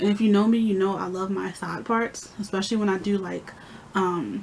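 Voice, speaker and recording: A woman's medium-pitched voice moves with fairly even intonation. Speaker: beauty vlogger. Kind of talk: casual vlog talk. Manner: fast.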